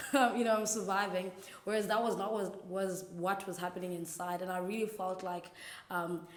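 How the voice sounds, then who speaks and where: Monotone, flat intonation marks this woman's medium-pitched voice. Audible room echo and noticeable background noise are present. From South Africa, Eastern Cape (rural). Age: 20s. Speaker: church intern sharing faith story. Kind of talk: testimony. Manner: casual, hesitant with fillers.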